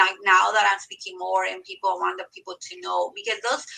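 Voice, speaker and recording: This is a woman speaking. She has a Mexican accent. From Mexico, rural Zacatecas. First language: Spanish. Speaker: medical coder and teaching assistant. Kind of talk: live stream interview.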